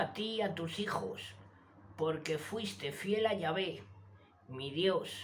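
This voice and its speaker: A woman speaks at a very slow pace. Audible room echo and noticeable background noise surround her. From Spain (Zaragoza). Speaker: YouTube channel host reading scripture. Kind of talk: reading aloud.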